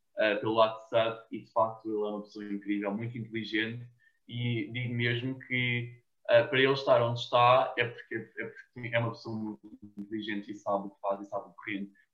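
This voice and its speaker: At a moderate pace, a man talks at a medium pitch with monotone, flat intonation. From Portugal, Cascais. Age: 20s. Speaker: TikToker and university student. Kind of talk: casual interview.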